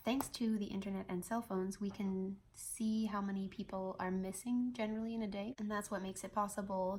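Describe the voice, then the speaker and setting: Her voice is somewhat breathy, a woman at medium pitch. She keeps a moderate pace with monotone, flat intonation. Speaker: flight attendant. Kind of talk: casual talk to camera.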